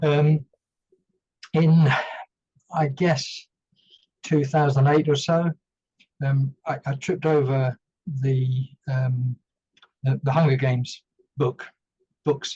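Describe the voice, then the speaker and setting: A man talks at a very slow pace with long, frequent pauses, his voice somewhat breathy, dark and mellow in tone, fairly high in pitch, and monotone, with flat intonation. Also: dry, close sound with no echo. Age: 60s. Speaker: retired army veteran and former company director. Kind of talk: podcast interview. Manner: hesitant, many fillers.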